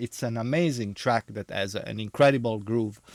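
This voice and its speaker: A man with a medium pitch in an Italian accent, on a very clean recording with a silent background and a dry, close sound with no echo. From Italy. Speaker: DJ and vinyl record reviewer. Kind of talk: casual monologue review. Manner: halting, many fillers.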